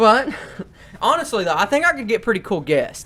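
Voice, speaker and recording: A man speaks at a high pitch. His voice makes very wide pitch swings. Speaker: YouTuber and podcast host. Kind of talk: casual chat. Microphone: cheap microphones.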